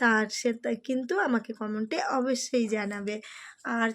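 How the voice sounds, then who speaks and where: A woman is speaking. Her voice is high in pitch. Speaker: cooking and vlog YouTuber. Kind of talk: travel vlog narration. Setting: outdoors at crowded festival pandals.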